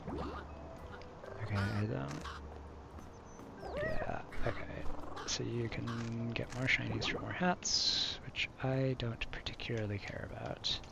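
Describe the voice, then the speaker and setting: Quiet, mumbled speech in an American accent at a very slow pace, with noticeable background noise. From Michigan, US. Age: 30s. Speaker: streamer. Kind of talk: casual gameplay commentary. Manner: mumbling, quiet.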